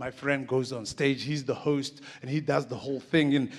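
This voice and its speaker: At a moderate pace, a man is talking. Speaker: conference speaker. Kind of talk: comic storytelling talk. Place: stage. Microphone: handheld.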